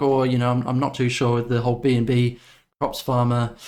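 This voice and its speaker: The recording is very clean, with a silent background. In it, a man with an Australian accent talks at a moderate pace. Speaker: crypto YouTuber. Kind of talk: video commentary. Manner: casual, many fillers.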